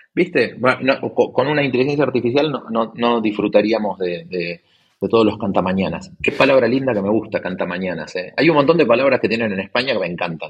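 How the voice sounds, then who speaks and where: Here a man talks at a fairly quick pace. His pitch is medium and his intonation lively. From Argentina, Buenos Aires. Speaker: tech investor and entrepreneur. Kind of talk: casual interview. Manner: halting, many repetitions and fillers.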